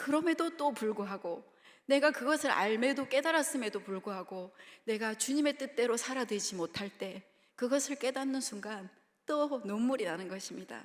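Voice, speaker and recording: In a Gyeongsang accent, a woman with a high pitch and lively intonation speaks at a moderate pace. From Busan, South Korea. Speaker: preacher (children's ministry evangelist). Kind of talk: sermon. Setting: church.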